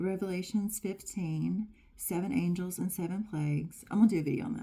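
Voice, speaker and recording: A woman with an American accent speaks at a moderate pace and a medium pitch. Her tone is dark and mellow, somewhat breathy, with ordinary pitch variation. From United States. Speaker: spiritual channeler and tarot reader. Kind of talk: channeled message reading. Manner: casual, filler-heavy.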